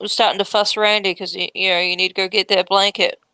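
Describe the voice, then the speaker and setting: A woman with a New Zealand accent speaks at a medium pitch in a bright, sharp tone. Her intonation is monotone and flat, and the sound is dry and close with no echo. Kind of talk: casual chat.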